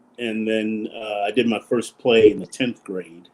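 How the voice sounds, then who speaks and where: This man has an ordinary speaking voice at a medium pitch and a moderate pace. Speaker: actor, stand-up comedian, event host, auctioneer. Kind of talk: interview answer. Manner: casual, conversational, humorous.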